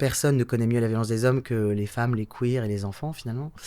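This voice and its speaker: A man talks at a medium pitch with a dark, mellow tone and fairly even intonation. The recording is very clean, with a silent background. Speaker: actor, writer, director. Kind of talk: interview answer. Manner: casual, hesitant.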